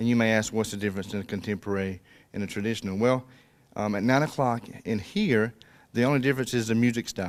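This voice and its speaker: Someone speaks very fast in a South Georgia accent, with fairly even intonation. The recording is very clean, with a silent background. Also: man, medium pitch for a man. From South Georgia, US (Colquitt, Miller County). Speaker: pastor. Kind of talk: casual interview chat. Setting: church stage, video recording.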